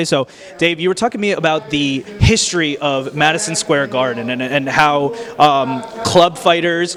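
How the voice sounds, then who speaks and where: With lively intonation, a man speaks at a fairly high pitch while background noise is noticeable. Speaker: boxing interviewer. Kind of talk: interview question.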